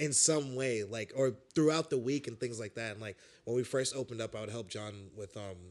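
A man's medium-pitched voice with an American accent, an ordinary speaking voice at a fairly quick pace. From New York City, Brooklyn (Bed-Stuy). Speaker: metal singer. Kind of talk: casual chat.

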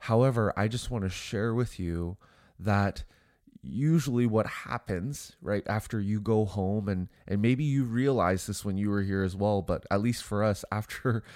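A man speaks at a fairly slow pace, fairly low in pitch, with a nasal, slightly mellow tone. The recording is very clean, with a silent background. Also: ordinary pitch variation.

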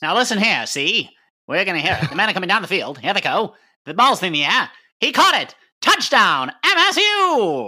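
A put-on character voice delivered at a middle pitch. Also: moderate pace. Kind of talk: excited, vintage broadcast style.

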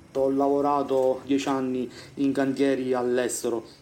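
Against audible room echo, a man speaks fairly slowly at a medium pitch with a dark, mellow tone. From Sicily, Siracusa. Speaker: civil engineer. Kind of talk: interview testimony. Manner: halting.

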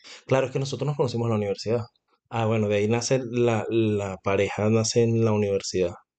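This man has a dark, mellow tone at a medium pitch. He talks very fast with fairly even intonation. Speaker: podcast co-host, salesman. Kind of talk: casual chat. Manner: talkative.

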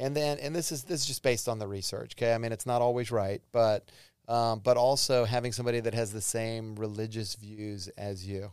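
A man with a normal speaking voice talks at a fairly quick pace in a medium pitch, with fairly even intonation and hardly any pauses, on a very clean recording with a silent background. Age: 50s. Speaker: psychologist. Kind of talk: casual chat.

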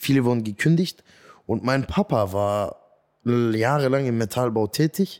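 With a normal speaking voice, a man talks at a fairly slow pace and a medium pitch, using lively intonation. The recording is very clean, with a silent background. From Swabia, Germany. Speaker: comedian. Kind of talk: interview. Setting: studio.

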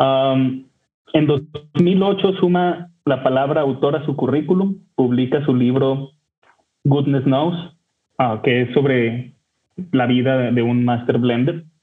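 A man holds a medium pitch. He speaks at a very slow pace. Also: ordinary pitch variation. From northern Mexico, Torreón. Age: 30s. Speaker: whisky enthusiast. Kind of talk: storytelling.

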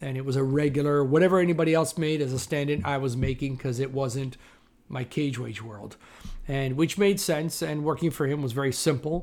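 A man with a Canadian accent speaks at a fairly quick pace in a fairly high pitch, with ordinary pitch variation. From Toronto, Canada. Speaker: film stand-in and actor. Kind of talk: interview. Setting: video call. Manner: loud.

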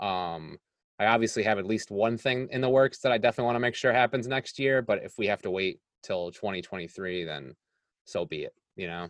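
A man with a plain, everyday voice talks at a fairly quick pace and medium pitch, his intonation lively and the sound dry and close with no echo. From Rochester area, New York. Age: 40s. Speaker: podcast host. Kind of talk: casual interview chat.

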